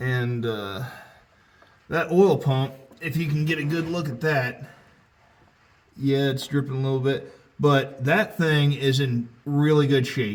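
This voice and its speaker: Amid audible room echo, a man with a fairly high pitch speaks at a fairly slow pace, leaving long, frequent pauses. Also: ordinary pitch variation. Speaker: tractor restoration vlogger. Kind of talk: casual how-to vlog. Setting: under a tractor in a garage. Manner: loud, talking over rain.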